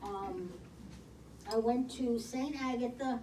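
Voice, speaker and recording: Through audible room echo and noticeable background noise, a woman with a Brooklyn accent speaks at a fairly high pitch. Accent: New York (Brooklyn). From Brooklyn, New York. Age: 70s. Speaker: senior program participant. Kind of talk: life story presentation. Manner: halting.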